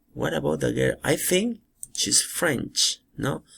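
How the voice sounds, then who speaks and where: The recording is very clean, with a silent background. A man speaks very slowly. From Peru. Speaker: English teacher. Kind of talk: recorded lesson for school pupils. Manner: halting, with frequent fillers.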